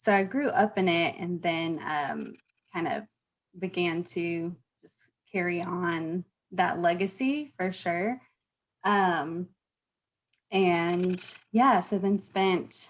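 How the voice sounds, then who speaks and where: Very slow speech from a woman with a Southern US accent, medium pitch, fairly even intonation, big swings in loudness, and long, frequent pauses. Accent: Southern drawl. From US South, North Carolina (Charlotte). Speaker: former pastor. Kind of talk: podcast interview.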